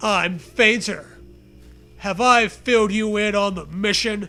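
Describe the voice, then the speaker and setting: A put-on character voice is raised and projected. It moves at a fairly slow pace with fairly even intonation. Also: man, high pitch for a man. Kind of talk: comic overacting. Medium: read story. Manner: gruff, macho.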